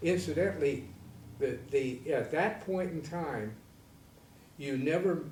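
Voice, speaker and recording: In an American accent, a man speaks very slowly at a fairly high pitch. Room echo is audible. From US Midwest, Michigan Upper Peninsula. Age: 80s+. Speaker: navy veteran. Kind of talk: interview. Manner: halting.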